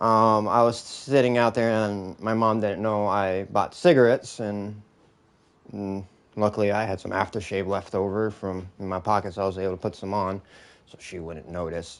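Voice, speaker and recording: A man's mumbling at a fairly low pitch, with fairly even intonation, a moderate pace and big swings in loudness. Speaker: gamer streamer. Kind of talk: casual chat. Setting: live stream. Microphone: old mic, may sound muffled.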